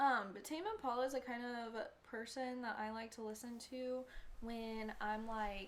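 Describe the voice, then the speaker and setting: With a fairly high pitch, a woman speaks at a moderate pace and with fairly even intonation. Room echo is audible. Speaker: beauty vlogger. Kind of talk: makeup tutorial.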